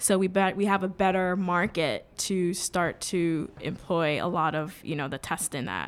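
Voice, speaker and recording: In an American accent, a woman with a plain, everyday voice and fairly low pitch speaks at a moderate pace with fairly even intonation and hardly any pauses, on a very clean recording with a silent background. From New York City, the Bronx. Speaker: blockchain startup founder. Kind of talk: interview.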